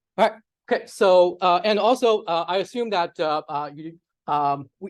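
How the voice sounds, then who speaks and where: A man with a Chinese accent speaks at a fairly slow pace, his pitch varying in an ordinary way against a quiet background. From China. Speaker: data scientist, workshop presenter. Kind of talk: lecture. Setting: workshop with live audience. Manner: many fillers (uh, um).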